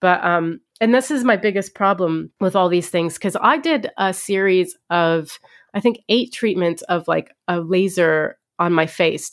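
With a plain, everyday voice, a woman speaks at a fairly slow pace in a medium pitch with ordinary pitch variation. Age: 30s. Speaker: stand-up comedian and podcast host. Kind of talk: casual chat.

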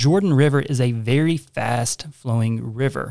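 A man with a plain, everyday voice speaks in a medium pitch with ordinary pitch variation. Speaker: co-host, church member. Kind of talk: casual discussion podcast on Bible reading.

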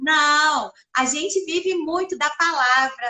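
A woman's raised, projected voice, bright and sharp in tone, moves at a very slow pace with fairly even intonation. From Brazil, interior of Minas Gerais (Perdizes). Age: 40s. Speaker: communications professional and social project organizer. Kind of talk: casual chat.

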